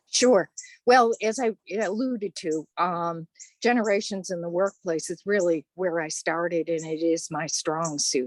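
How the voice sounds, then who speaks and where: With an American accent, a woman talks at a fairly slow pace in a fairly low pitch with ordinary pitch variation, the sound dry and close with no echo. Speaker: generations researcher and class instructor. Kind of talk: interview.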